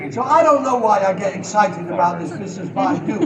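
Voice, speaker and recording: A high-pitched man talks at a fairly quick pace with lively intonation. Audible room echo and noticeable background noise are present. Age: 70s. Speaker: sales trainer. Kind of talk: Q&A at a seminar. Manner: energetic.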